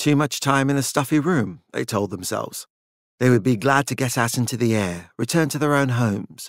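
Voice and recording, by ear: Reading aloud in a natural voice with ordinary pitch variation, over a quiet background.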